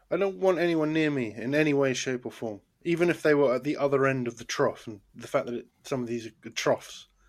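Speaking with a British accent at a fairly quick pace and hardly any pauses, a man uses a fairly high pitch with ordinary variation on a very clean recording with a silent background. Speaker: podcast host. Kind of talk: casual banter, comedy review show. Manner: rambling, hesitant, laughs often.

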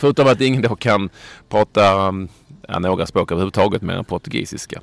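Very fast and fairly low-pitched, this man speaks with ordinary pitch variation. The recording is very clean and dry, with a silent background and no echo. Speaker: football podcast host. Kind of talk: casual chat.

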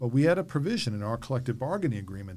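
A man with an American accent speaks at a medium pitch, his voice somewhat breathy and his intonation lively. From New York. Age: 50s. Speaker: podcast host, former school board member. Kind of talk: interview conversation.

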